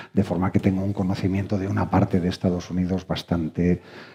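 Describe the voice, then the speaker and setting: A man talks in a very deep, low pitch. His tone is dark and mellow. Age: 60s. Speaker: lawyer, panel moderator. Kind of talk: panel discussion. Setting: stage with audience, streamed. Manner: hesitant, frequent fillers.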